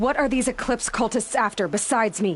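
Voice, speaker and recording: A put-on character voice growls at a fairly quick pace. The background is quiet. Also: woman. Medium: video game. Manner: blunt, terse.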